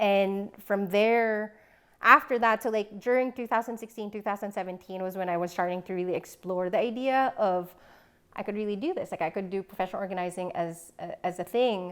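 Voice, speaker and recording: Speaking with a Filipino accent at a fairly quick pace, a woman with a medium pitch and ordinary pitch variation is heard in a very clean recording with a silent background. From Philippines. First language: Filipino language. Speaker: professional organizer. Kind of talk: casual interview.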